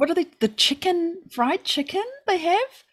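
A woman with a New Zealand accent. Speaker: podcast co-host. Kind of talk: casual chat. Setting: remote call.

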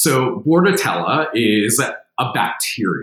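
An American-accented man with very wide pitch swings, in audible room echo. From New Jersey. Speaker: veterinarian, professor. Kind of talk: expert interview.

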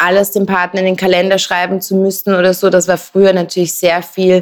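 This is a woman speaking at a medium pitch. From Southern California, then Austrian Alps. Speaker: fashion influencer and label founder. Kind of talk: casual interview chat.

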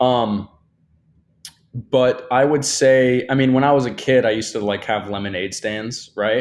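A man with an unremarkable speaking voice, pitched medium, talks fairly slowly with fairly even intonation. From US Midwest (Kalamazoo, Michigan). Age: 20s. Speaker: content creator. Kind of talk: casual chat.

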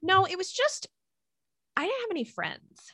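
A woman with an American accent uses a raised, projected voice with a bright, sharp tone. She speaks at a moderate pace in a dry, close sound with no echo. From US, Italian American family. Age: 40s. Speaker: clinical nutritionist. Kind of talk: casual interview chat.

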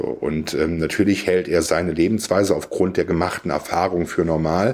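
A man's very deep, low voice at a moderate pace, his intonation fairly even. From Siegerland, western Germany. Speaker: podcast guest. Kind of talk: casual philosophical conversation.

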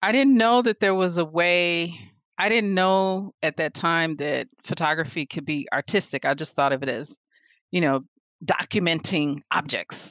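In an ordinary speaking voice, a woman talks at a fairly slow pace with fairly low pitch and lively intonation, the sound dry and close with no echo. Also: quiet background. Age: 40s. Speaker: visual artist and photographer. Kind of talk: casual interview chat.

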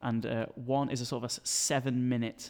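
The speaker is a man at medium pitch. He talks with flat, monotone intonation. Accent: Yorkshire. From Sheffield, northern England. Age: 20s. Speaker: university student. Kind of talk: interview. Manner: halting.

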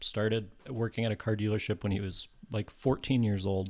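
Recorded very cleanly against a silent background, a man with an American accent uses an ordinary speaking voice, fairly low in pitch, with fairly even intonation. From California. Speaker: screenwriter and filmmaker. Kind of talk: casual interview.

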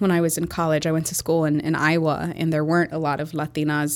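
In a very clean recording with a silent background, a woman with a Chicago accent talks at a fairly quick pace, her very deep, low pitch held to a fairly even intonation. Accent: Chicago American English. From Chicago, US Midwest. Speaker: entrepreneur, marketing agency founder. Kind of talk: interview conversation.

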